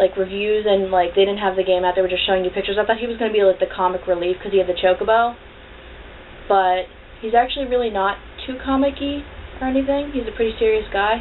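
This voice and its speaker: A woman mumbles at a very fast pace, her medium pitch carrying ordinary pitch variation and an animated tone. Noticeable background noise sits behind her. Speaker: video blogger. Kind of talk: casual vlog review. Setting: at home on camera with cat. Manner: mumbling, runs words together.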